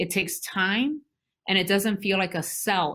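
A woman with an American accent and an unremarkable speaking voice talks at a medium pitch with ordinary pitch variation, in a very clean recording with a silent background. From Brooklyn, New York. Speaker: college president. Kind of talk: interview.

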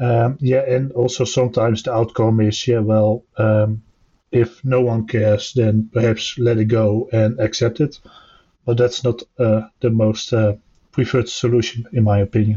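A man speaks in a dark, mellow, somewhat breathy voice with monotone, flat intonation and very even loudness. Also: medium pitch for a man, moderate pace. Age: 30s. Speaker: software tester. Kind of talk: casual panel discussion. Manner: halting, many fillers.

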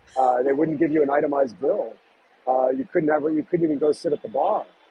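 A man with an American accent, fairly high-pitched, speaking at a fairly quick pace over noticeable background noise. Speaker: restaurateur and author. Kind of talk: interview.

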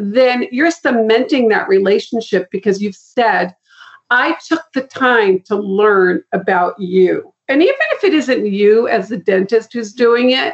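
A woman in a normal speaking voice with an American accent, fairly high pitch, ordinary pitch variation and a moderate pace. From Boston. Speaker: guest, marketing and referral consultant. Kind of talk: interview conversation.

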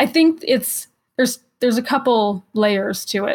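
Recorded very cleanly against a silent background, a woman with an American accent sounds somewhat breathy. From Los Angeles, US. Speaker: electric vehicle advocate. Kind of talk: casual chat.

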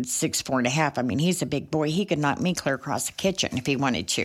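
On a very clean recording with a silent background, the speaker sounds animated, with ordinary pitch variation. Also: woman. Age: 60s. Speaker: truck driver and driver trainer. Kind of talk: casual interview chat.

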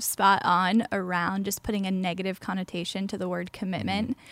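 A woman talks at a moderate pace and medium pitch. Hers is an ordinary speaking voice. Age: 20s. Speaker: pastor. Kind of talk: casual chat.

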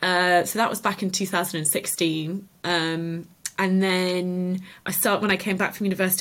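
A voice with a southern English accent comes through in a very clean recording with a silent background. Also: woman. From Cotswolds, England. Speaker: artist and small business owner. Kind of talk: interview. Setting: at the guest's home.

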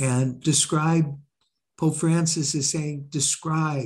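A man talks at a very slow pace in a fairly high pitch. His voice is somewhat breathy, with fairly even intonation. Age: 70s. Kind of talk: interview.

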